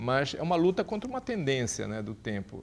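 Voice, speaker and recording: A man is speaking at a fairly quick pace. His pitch is medium. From Brazil, Pará (Santarém). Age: 60s. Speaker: journalist. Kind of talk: interview. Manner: halting, many repetitions.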